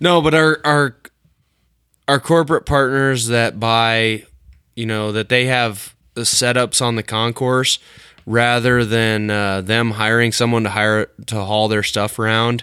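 A man with a Midwestern US accent, medium-pitched, bright and sharp in tone, with ordinary pitch variation, a fairly slow pace and long, frequent pauses. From rural Illinois. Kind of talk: casual chat.

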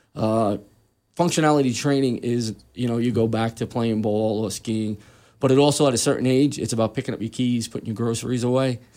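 A man with a medium-pitched, dark, mellow tone talks at a fairly quick pace on a very clean recording with a silent background. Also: fairly even intonation. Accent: New York. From Queens, New York. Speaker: personal trainer, retired police detective. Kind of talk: casual radio interview. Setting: radio studio.

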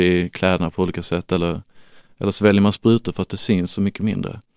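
Very deep and monotone, a man speaks in a flat voice, recorded dry and close with no echo, very clean, with a silent background. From Lund, Skåne, southern Sweden. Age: 30s. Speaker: parent of child with diabetes. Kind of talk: interview. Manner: halting.

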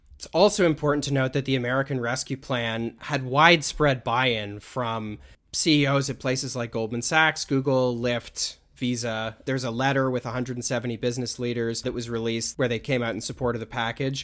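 An unremarkable speaking voice from a man at medium pitch, moderate pace, fairly even intonation and hardly any pauses. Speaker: podcast host. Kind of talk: casual conversation.

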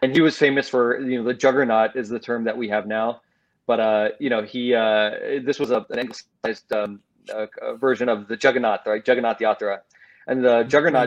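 This man has a normal speaking voice with an American accent. His pitch is medium and his intonation fairly even. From United States. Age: 30s. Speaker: lawyer and history curator. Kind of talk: interview.

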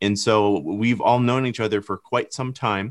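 A man with an American accent has an ordinary speaking voice, fairly low in pitch, with ordinary pitch variation. He speaks at a moderate pace, and the recording is very clean with a silent background. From Michigan. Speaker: filmmaker. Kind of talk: podcast conversation.

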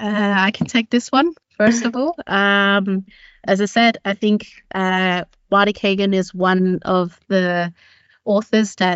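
A woman with an Australian accent, medium pitch and fairly even intonation. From Australia, Sydney. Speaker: product manager. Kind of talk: panel discussion.

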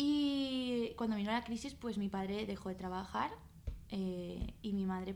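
A woman is speaking. The room echo is audible. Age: 20s. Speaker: restaurant owner. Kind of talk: interview.

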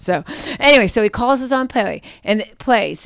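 A woman with an American accent and an unremarkable speaking voice talks at a fairly high pitch with lively intonation, on a very clean recording with a silent background. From Pittsburgh, Pennsylvania. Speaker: pastor. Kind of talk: interview conversation.

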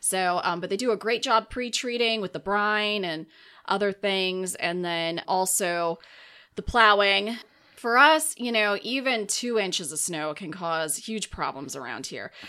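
A woman with an American accent and an unremarkable speaking voice, fairly slow pace and lively intonation, on a very clean recording with a silent background. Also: medium pitch for a woman. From Minnesota, US Upper Midwest. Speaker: county emergency manager. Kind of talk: casual interview. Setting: studio.

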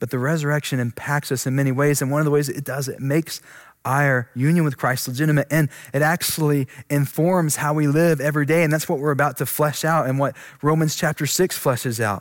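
With an unremarkable speaking voice, a man talks at a fairly quick pace and fairly high pitch with fairly even intonation on a very clean recording with a silent background. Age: 20s. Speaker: pastor. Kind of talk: sermon.

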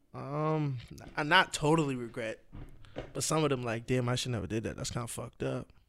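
With an American accent, a man talks in a normal speaking voice at medium pitch, using ordinary pitch variation. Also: fairly quick pace. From Boston. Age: 20s. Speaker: DJ and former social media comedian. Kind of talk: casual chat.

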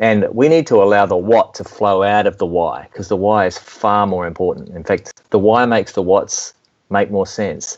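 The speaker has an Australian accent. The pitch varies in an ordinary way. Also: man, fairly low pitch for a man, moderate pace. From Melbourne, Australia. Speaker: worship music mentor and speaker. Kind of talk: interview, conversational.

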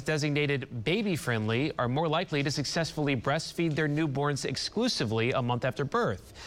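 A man with an ordinary speaking voice talks at a fairly high pitch, with ordinary pitch variation. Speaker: TV news anchor. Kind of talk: news reading. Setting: TV studio. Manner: formal, measured newscaster delivery.

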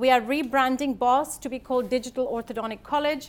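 In a very clean recording with a silent background, a woman with a high pitch speaks at a moderate pace with fairly even intonation. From India. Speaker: orthodontist and course educator. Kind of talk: lecture. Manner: halting, many fillers.

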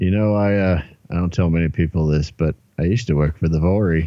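A man's very deep, low-pitched voice at a fairly quick pace. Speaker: tabletop RPG player. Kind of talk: tabletop RPG roleplay, casual.

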